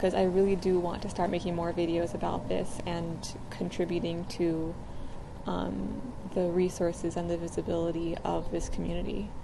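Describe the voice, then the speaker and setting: Soft-spoken, a woman talks at a moderate pace. The recording has audible room echo and noticeable background noise. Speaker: video blogger. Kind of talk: personal vlog talk. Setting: outdoors. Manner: hesitant, many fillers.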